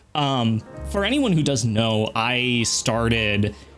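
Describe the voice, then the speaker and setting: There is noticeable background noise behind a man speaking at a medium pitch. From Texas. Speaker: gaming YouTuber. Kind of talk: casual channel update monologue. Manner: casual, hesitant with fillers.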